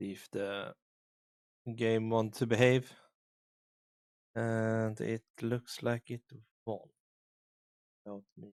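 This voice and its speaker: A man at a medium pitch speaks very slowly in a flat monotone, with long, frequent pauses and big swings in loudness, in a dry, close sound with no echo. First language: not English. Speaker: streamer. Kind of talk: gaming stream with reading aloud. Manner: halting.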